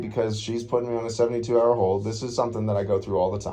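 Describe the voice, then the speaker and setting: Audible room echo surrounds a man at medium pitch whose pitch varies in an ordinary way. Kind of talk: confrontational encounter. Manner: loud.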